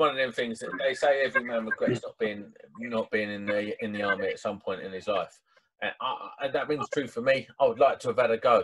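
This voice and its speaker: Big swings in loudness run through this man's speech, delivered at a fairly quick pace. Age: 30s. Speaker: podcast host. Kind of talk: interview.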